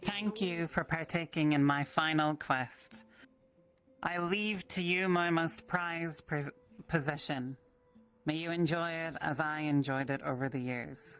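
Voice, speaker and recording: A booming, put-on character voice at a middle pitch delivers its lines at a fairly slow pace over faint music in the background. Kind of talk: ceremonial, like a farewell message.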